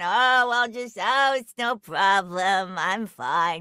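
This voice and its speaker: In a put-on character voice at middle pitch, the speaker goes at a very slow pace. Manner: casual, brushing it off.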